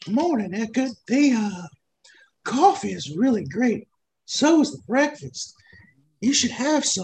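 Using a put-on character voice with a fairly high pitch, the speaker talks at a fairly slow pace with long, frequent pauses. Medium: actual play. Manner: folksy, polite.

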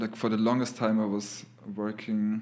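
The delivery is monotone, with flat intonation. Its pace is fairly slow. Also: man. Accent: German. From Lower Austria. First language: German. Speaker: abstract artist. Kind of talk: casual chat.

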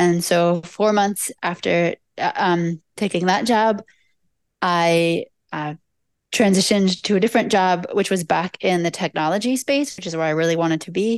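Here a woman uses an ordinary speaking voice of medium pitch with ordinary pitch variation, at a moderate pace. The background is quiet, and the sound is dry and close with no echo. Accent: American. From US Mid-Atlantic, Delaware. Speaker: nonprofit board member. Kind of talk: interactive presentation. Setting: video call.

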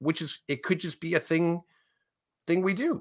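A man's voice comes through with a bright, sharp tone and vocal fry. The recording is very clean, with a silent background. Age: 50s. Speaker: podcast co-host. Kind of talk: casual chat.

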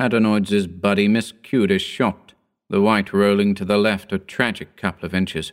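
A natural reading voice is heard. Nothing much sounds behind it.

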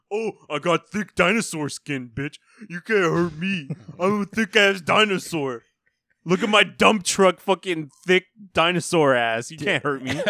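Using a put-on character voice, a man speaks high-pitched at a moderate pace. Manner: cocky, taunting.

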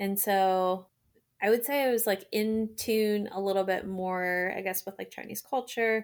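Here is a woman with an unremarkable speaking voice at a medium pitch, speaking at a fairly slow pace with fairly even intonation. The recording is very clean, with a silent background. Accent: American. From US Maryland. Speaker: resident doctor, adoptee. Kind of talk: casual interview chat.

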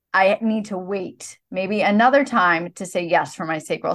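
A woman with a normal speaking voice talks at a medium pitch with ordinary pitch variation against a quiet background. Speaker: podcast host. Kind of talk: podcast conversation, promoting offers.

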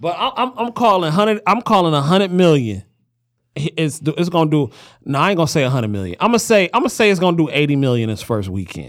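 A man with an American accent, fairly high in pitch, talking at a very fast pace with very wide pitch swings, on a very clean recording with a silent background. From Highland Park, Michigan (Detroit area). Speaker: podcast host. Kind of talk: casual chat. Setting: studio. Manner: animated.

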